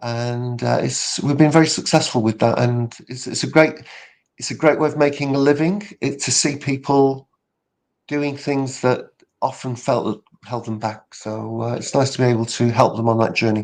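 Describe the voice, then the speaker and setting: Medium-pitched man with a British accent at a moderate pace, against a quiet background. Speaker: public speaking coach. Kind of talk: casual interview chat.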